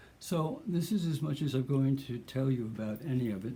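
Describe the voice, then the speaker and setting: Noticeable background noise is present throughout. A man speaks with lively intonation. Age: 70s. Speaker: artist. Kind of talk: casual chat. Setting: at home. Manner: halting.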